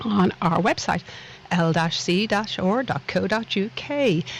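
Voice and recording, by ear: A woman speaks in a Dublin accent. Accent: Dublin Irish.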